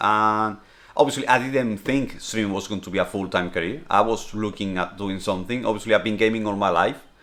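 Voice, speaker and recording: A man with a Spanish accent, fairly low in pitch, ordinary pitch variation, on a very clean recording with a silent background. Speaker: streamer and vlogger. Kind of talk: casual Q&A vlog.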